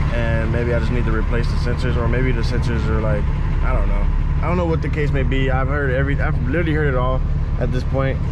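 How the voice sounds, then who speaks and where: Loud background noise surrounds this recording. A man talks over it at a very fast pace. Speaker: car vlogger. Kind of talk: casual vlog chat. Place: car. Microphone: phone near.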